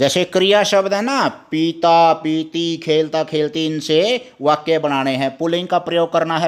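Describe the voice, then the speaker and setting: A man with a Haryana accent. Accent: Haryanvi. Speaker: teacher. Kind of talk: lesson for children.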